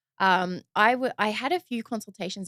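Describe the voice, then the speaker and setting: A woman with an Australian accent is heard in a dry, close recording with no echo. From Sydney, Australia. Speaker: podcast host. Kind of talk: podcast interview. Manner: casual, filler-heavy.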